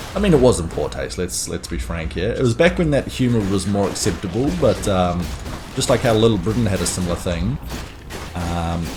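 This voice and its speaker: A man with a New Zealand accent speaks at a fairly quick pace and a fairly low pitch, his pitch swinging very widely. Music plays in the background. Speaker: gaming streamer. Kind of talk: gameplay commentary.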